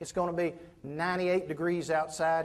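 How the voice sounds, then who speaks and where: A man with a high voice and a Southern US accent speaks at a moderate pace in a monotone, flat intonation. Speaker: professional speaker. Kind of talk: motivational keynote storytelling.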